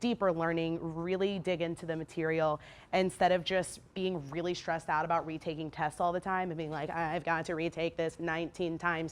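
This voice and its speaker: A woman's fairly low voice in monotone, flat intonation, fairly quick and with hardly any pauses. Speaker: teacher. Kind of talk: information session for parents. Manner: fast.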